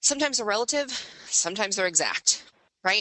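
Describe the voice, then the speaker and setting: A woman is speaking. Her pace is very fast. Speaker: webinar presenter on background screening. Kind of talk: webinar presentation. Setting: online webinar. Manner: animated, conversational.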